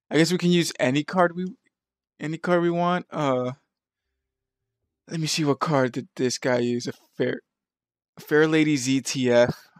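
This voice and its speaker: A man mumbles in a fairly high voice at a moderate pace with ordinary pitch variation. He leaves long, frequent pauses. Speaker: gaming video editor. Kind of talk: casual gameplay commentary. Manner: mumbling, hesitant.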